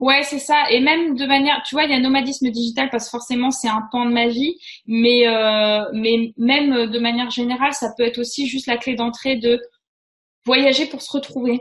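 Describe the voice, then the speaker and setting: High-pitched for a woman, her voice moves at a moderate pace. The intonation is monotone and flat. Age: 30s. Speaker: freelance web writer and digital nomad. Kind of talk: casual interview.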